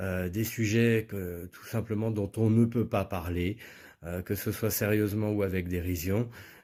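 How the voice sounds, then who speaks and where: Recorded very cleanly against a silent background, a man talks at a fairly slow pace. His tone is dark and mellow, his pitch fairly low and his intonation fairly even. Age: 40s. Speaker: political candidate. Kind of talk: political speech. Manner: hesitant with frequent fillers.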